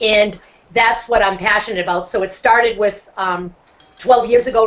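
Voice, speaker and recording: A woman speaks at a moderate pace with a Boston accent, her pitch medium. Noticeable background noise runs underneath. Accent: Boston accent, non-rhotic. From Boston, US. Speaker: motivational speaker and social entrepreneur. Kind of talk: casual interview on a video hangout.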